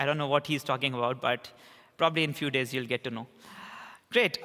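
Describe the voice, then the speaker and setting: A man speaks with a bright, sharp tone. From India, Bangalore. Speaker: conference speaker, software developer. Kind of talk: conference talk. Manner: halting, many fillers.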